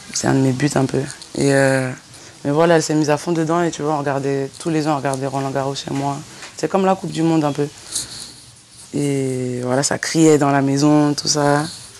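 A woman speaks at a moderate pace in a very deep, low voice with monotone, flat intonation and long, frequent pauses. Noticeable background noise is present. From Lyon area, France. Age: 20s. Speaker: rapper. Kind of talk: interview. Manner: casual, filler-heavy.

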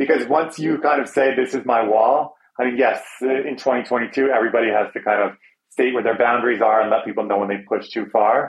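A man with an ordinary speaking voice, medium pitch and fairly even intonation, at a fairly quick pace. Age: 40s. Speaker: magazine editor and brand partner. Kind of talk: interview.

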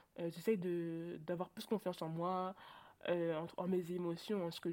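A woman speaks in an animated tone at a medium pitch. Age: 20s. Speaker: student guest sharing life with ADHD. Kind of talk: personal testimony in casual interview. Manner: animated, hesitant with many fillers.

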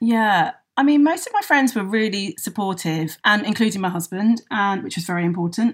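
Using a London accent, a woman speaks at a moderate pace with hardly any pauses. Her medium-pitched voice is somewhat breathy, with lively intonation. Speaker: hair care business founder. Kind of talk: interview.

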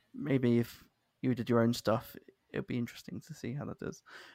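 Very fast speech with a Southern English accent. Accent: southern English, sounds posh. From London, England. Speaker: podcast host. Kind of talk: casual interview chat.

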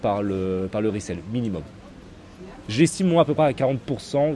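A man speaks at a moderate pace with a dark, mellow tone. His intonation is lively. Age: 30s. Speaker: sneaker reseller. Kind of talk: casual interview.

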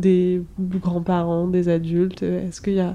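A woman speaks in a dark, mellow tone. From France, Brittany. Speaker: podcast host. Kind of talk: casual interview chat.

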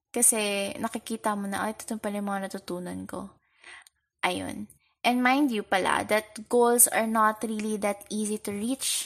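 A woman with a Filipino accent and a fairly high pitch, at a fairly slow pace against a quiet background. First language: Tagalog. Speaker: podcast host. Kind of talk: casual solo podcast talk. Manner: conversational Taglish code-switching.

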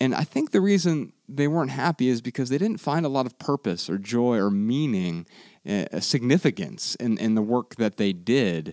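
At a moderate pace, a man with a medium pitch and a dark, mellow tone speaks with very wide pitch swings. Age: 30s. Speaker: podcast host. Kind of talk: casual chat. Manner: sometimes stutters or mumbles.

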